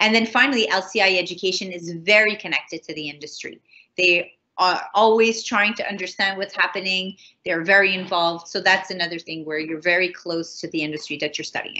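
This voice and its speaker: Woman's voice at medium pitch, fairly quick pace, ordinary pitch variation and big swings in loudness. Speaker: college tutor presenting information session. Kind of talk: online information session presentation. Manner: fast; casual, halting with fillers.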